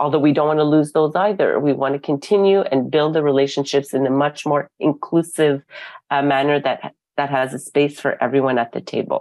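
Over a quiet background with a dry sound and no echo, a woman with a Canadian accent speaks fairly quickly in a very deep, low pitch with fairly even intonation. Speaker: arts council executive; arts council director. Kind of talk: conference talk. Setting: video call. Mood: earnest, engaged. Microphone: earbuds.

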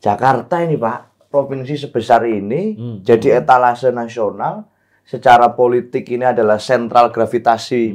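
Against a quiet background, a man talks at a moderate pace with hardly any pauses, ordinary pitch variation and big swings in loudness. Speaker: guest. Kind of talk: talk show discussion. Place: studio. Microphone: lapel.

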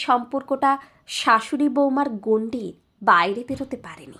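A woman with a high pitch and a bright, sharp tone speaks with ordinary pitch variation on a very clean recording with a silent background. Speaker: story narrator. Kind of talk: emotional audio story reading, first-person.

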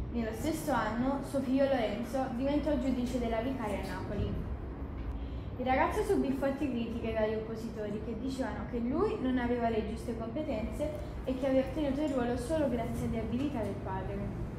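Speaking at a fairly quick pace with ordinary pitch variation, a woman is heard over noticeable background noise and audible room echo. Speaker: presenter. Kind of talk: presentation to a class. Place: classroom. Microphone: camera far.

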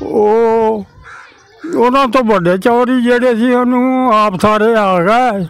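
The voice keeps a fairly even intonation and very even loudness, with a dry sound that has no echo. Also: man, extremely high pitch for a man. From East Punjab, Jalandhar district, India; Punjab, India. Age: 90s. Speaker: partition eyewitness, farmer; witness. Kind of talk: oral history interview. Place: street.

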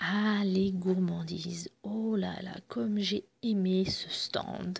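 A woman speaks slowly at a medium pitch with little pitch movement. Her tone is slightly mellow, with a slightly husky edge and vocal fry.

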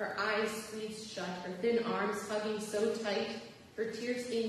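This is a natural reading voice. It carries the whole clip.

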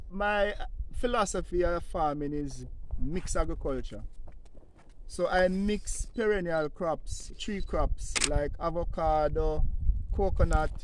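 Dry sound with no echo, a man speaking, and noticeable background noise. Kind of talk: interview answer.

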